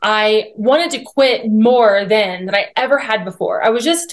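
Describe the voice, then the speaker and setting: A woman's unremarkable speaking voice, fairly high in pitch, with ordinary pitch variation and a fairly slow pace. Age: 40s. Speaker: author and church culture advocate. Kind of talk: casual interview.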